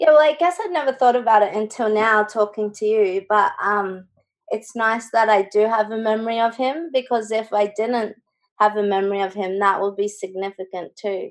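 The voice has an Australian accent. It moves at a moderate pace with ordinary pitch variation. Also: woman, fairly high pitch for a woman. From Brisbane, Australia. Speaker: visual artist. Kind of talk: interview.

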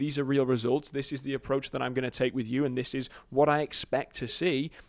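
This man talks at a very fast pace. He has a medium pitch and an English accent. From England. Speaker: marketing agency CEO. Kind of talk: casual interview chat.

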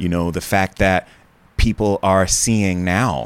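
This man speaks in a very deep, low voice with an American accent. His pitch rises and falls in an ordinary way. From United States. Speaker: travel TV host and producer. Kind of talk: interview conversation.

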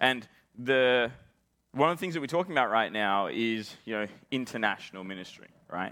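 Speaking at a fairly quick pace with an Australian accent, a man uses lively intonation broken by long, frequent pauses. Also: medium pitch for a man. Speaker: pastor. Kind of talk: conference talk.

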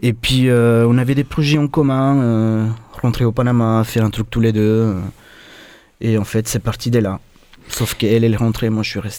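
A man speaks at a moderate pace with long, frequent pauses. His medium-pitched voice has a dark, mellow tone and fairly even intonation. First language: Spanish (speaking French). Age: 30s. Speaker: chef. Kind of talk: radio interview.

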